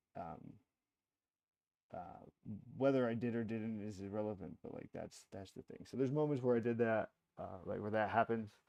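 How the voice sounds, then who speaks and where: In a dry, close recording with no echo, a man with a dark, mellow tone and medium pitch speaks at a moderate pace, his loudness swinging widely and his pauses long and frequent. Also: ordinary pitch variation. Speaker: livestreamer. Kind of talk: livestream monologue. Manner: halting, stuttering; many filler words.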